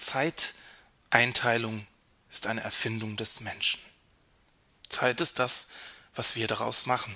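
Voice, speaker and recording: Very slowly, with long, frequent pauses, a man speaks in a medium pitch with a bright, sharp tone and fairly even intonation. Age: 30s. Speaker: podcast host. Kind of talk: reflective monologue.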